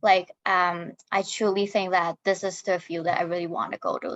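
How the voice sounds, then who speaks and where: Delivered at a moderate pace, the speech has a monotone, flat intonation and a dry, close sound with no echo. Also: woman. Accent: Chinese. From Hong Kong. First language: Chinese. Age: 20s. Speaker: social worker. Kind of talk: panel discussion.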